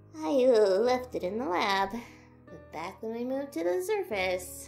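A female-sounding voice does a put-on character voice at medium pitch and a fairly slow pace. Clear music plays in the background. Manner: nervous, hesitant.

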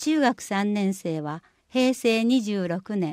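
A woman speaks on a very clean recording with a silent background. The sound is dry and close, with no echo. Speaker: municipal newsletter reader. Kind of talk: reading aloud.

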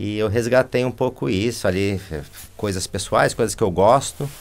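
At a moderate pace, the speaker talks with a Brazilian accent and ordinary pitch variation. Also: man. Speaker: animation film director; interview guest. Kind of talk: interview conversation. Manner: halting. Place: studio.

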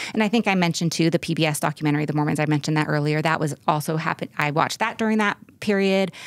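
A woman with an American accent talks at a very fast pace with hardly any pauses. Her pitch is very deep and low, and her loudness stays very even. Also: ordinary pitch variation. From US West (California). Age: 40s. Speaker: interview guest. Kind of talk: personal interview. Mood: candid, reflective. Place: studio. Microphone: studio mic.

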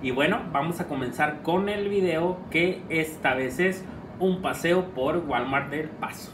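With noticeable background noise, a man speaks very slowly at a high pitch, with ordinary pitch variation. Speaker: vlogger. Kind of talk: casual vlog chat. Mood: cheerful, laughing. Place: home room. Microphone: camera far.

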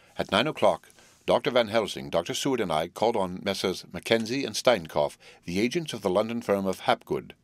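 Text read aloud, natural-voiced

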